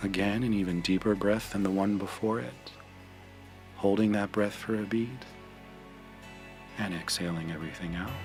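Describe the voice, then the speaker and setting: A man at a fairly low pitch with fairly even intonation, a moderate pace and long, frequent pauses, over music in the background. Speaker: meditation guide. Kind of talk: guided meditation.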